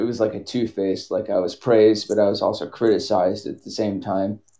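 A dark, mellow tone with monotone, flat intonation over a quiet background. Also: man. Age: 30s. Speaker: caller, wildland firefighter. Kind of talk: personal call-in conversation.

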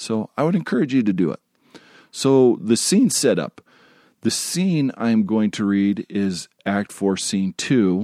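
At a fairly slow pace, a man speaks at a medium pitch with lively intonation and a dark, mellow tone. The recording is very clean, dry and close with no echo, over a silent background. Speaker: podcast host. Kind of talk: casual monologue. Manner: halting.

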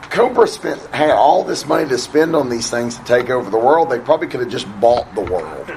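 A man speaks at a medium pitch with lively intonation, at a fairly quick pace with hardly any pauses. Noticeable background noise runs under his voice. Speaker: writer panelist.

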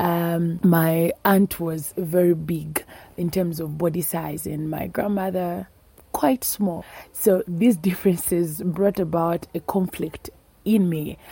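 Speaking very slowly in a Zambian accent, a woman keeps a fairly low pitch. Her intonation stays fairly even. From northern Zambia. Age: 20s. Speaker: food scientist, activist. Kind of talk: personal storytelling.

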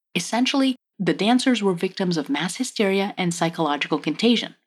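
In a very clean recording with a silent background, a woman speaks fairly quickly at a medium pitch. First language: French. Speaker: podcast co-host. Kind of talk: history podcast narration.

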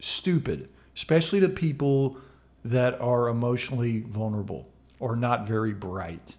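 Using a plain, everyday voice, a man speaks at a fairly slow pace in a medium pitch with lively intonation. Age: 50s. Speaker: mindfulness educator and podcast co-host. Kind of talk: casual chat. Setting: home studio.

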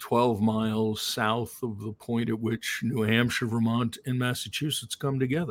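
A man with an American accent speaks at a medium pitch and a moderate pace. His intonation stays fairly even in a very clean recording with a silent background. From Long Island, New York. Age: 60s. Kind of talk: casual interview chat.

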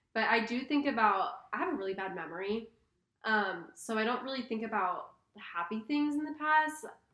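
With a plain, everyday voice, a woman speaks at a moderate pace with fairly high pitch and lively intonation. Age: 20s. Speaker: college student. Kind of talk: casual chat.

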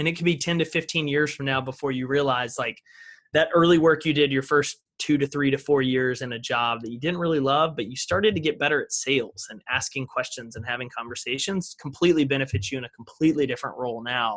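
A man with an American accent speaks at a very fast pace with hardly any pauses and big swings in loudness. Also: fairly high pitch for a man, ordinary pitch variation. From East Texas. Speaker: speaker and brand entrepreneur. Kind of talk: interview conversation.

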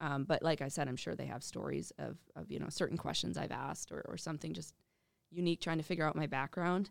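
Very fast speech comes from a woman with an Upper Midwest accent. The recording is very clean, with a silent background. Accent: Upper Midwest American. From Minnesota, western Twin Cities suburbs. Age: 20s. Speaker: adaptive athlete and amputee ambassador. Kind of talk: interview.

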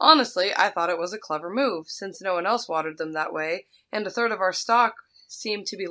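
There's a natural reading voice over a quiet background.

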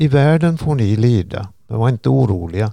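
Dark and mellow in tone, a man's voice sits at a medium pitch with lively intonation. He keeps a moderate pace, and the sound is dry and close with no echo. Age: 70s. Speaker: retiree and church volunteer. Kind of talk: reading scripture aloud. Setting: organ loft in a church.

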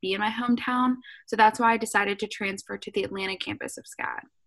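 An ordinary speaking voice, a woman with an American accent, fairly high pitch, fairly even intonation and a fairly quick pace. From US South, Savannah, Georgia. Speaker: fashion student and YouTuber. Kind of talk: casual chat.

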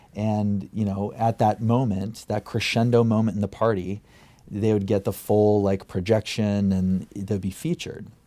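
Speaking with an American accent, a man uses a dark, mellow tone at a fairly low pitch, with fairly even intonation and a moderate pace. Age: 30s. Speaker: music booking agent. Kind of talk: interview.

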